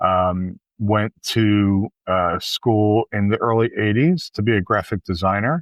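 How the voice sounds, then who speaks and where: A man with an American accent at a very slow pace with hardly any pauses, fairly low in pitch, with ordinary pitch variation and very even loudness. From Philadelphia, US. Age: 60s. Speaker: event producer and cruise organizer. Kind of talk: casual interview chat. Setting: remote video call recording. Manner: hesitant, many fillers.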